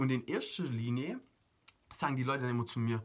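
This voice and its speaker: This man speaks at a medium pitch in an animated tone, his voice somewhat breathy. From Germany. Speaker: motivational coach. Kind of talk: motivational video monologue.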